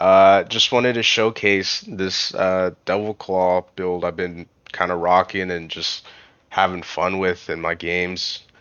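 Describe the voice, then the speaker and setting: With a very deep, low pitch, a man speaks fairly slowly in a monotone, flat intonation. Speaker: gaming youtuber. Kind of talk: gameplay commentary outro. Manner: casual with fillers.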